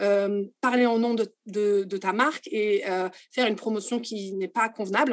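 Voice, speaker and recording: Against a quiet background, a woman speaks in an unremarkable speaking voice at a fairly high pitch with fairly even intonation. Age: 30s. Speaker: tour operator executive. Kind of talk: interview.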